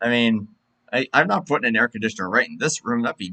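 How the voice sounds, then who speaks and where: In an American accent, a medium-pitched man speaks with a bright, sharp tone, the sound dry and close with no echo. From Pennsylvania. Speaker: sim racing broadcaster. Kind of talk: post-race casual chat.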